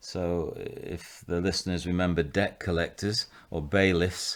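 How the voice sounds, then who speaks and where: In a Mancunian accent, a man speaks with a very deep, low pitch on a very clean recording with total background silence. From northern England, Salford/Manchester. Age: 60s. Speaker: vicar and rehabilitation director. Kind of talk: interview, personal testimony. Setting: at his home.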